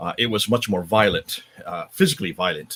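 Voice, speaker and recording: This man speaks at a fairly quick pace with a fairly low pitch. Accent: American. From northern India (Himalayas), American missionary family. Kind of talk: interview.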